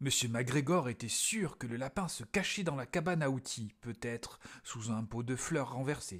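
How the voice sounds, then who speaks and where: In a very clean recording with a silent background, a man talks at a moderate pace and medium pitch, somewhat breathy, with a gentle, calm tone and lively intonation. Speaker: storyteller reading to children. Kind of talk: bedtime story reading aloud. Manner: gentle, calm storyteller pacing, child-directed.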